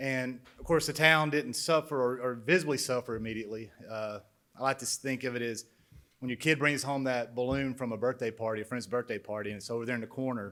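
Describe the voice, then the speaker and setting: A man with a medium pitch talks at a very fast pace, his pitch varying in an ordinary way. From central Alabama, Shelby County. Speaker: former Air Force pilot, manufacturing businessman. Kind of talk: introductory speech. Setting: conference stage with audience.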